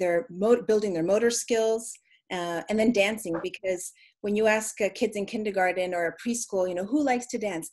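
Ordinary pitch variation marks a woman's speech at a moderate pace. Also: slightly mellow tone.

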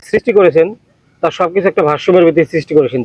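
A high male voice, dry and close with no echo. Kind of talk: casual dramatized conversation.

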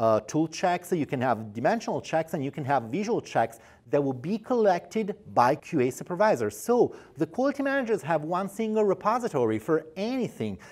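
A high-pitched man at a fairly quick pace, with very wide pitch swings. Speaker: product specialist. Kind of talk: corporate product explainer. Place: studio. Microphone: lapel.

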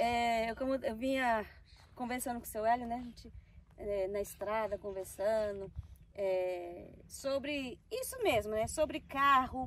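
A woman talks at a fairly slow pace, her voice dry with no echo. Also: ordinary pitch variation. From Recife, Brazilian Northeast. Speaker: travel vlogger; vlogger. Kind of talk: casual vlog chat. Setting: outdoors by a reservoir. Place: waterside.

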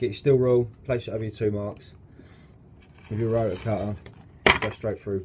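The speech is very fast, with loud background noise behind it. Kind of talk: tutorial. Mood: a bit flustered by wind. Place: workshop. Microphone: phone near.

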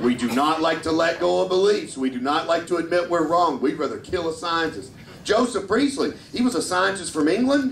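With an American accent, a man speaks in a high voice at a fairly quick pace, his pitch swinging very widely. The recording has audible room echo and light background noise. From Kentucky, US South. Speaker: stand-up comedian. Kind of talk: stand-up. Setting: stage with audience. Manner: animated. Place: stage.

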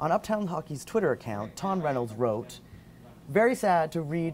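Over light background noise, a man speaks at a moderate pace with very wide pitch swings. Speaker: video blog host. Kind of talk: news vlog commentary. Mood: lightly wry, engaged. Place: office.

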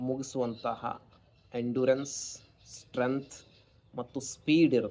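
A dark, mellow tone in a flat monotone. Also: man, medium pitch for a man. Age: 30s. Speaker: astrologer. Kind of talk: monologue to camera.

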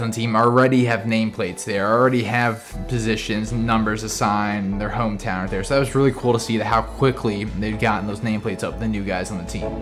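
Clear music plays in the background of this very fast speech. The intonation stays fairly even, with hardly any pauses. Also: man. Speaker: fan vlogger giving a tour. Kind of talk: casual tour commentary. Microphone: phone near.

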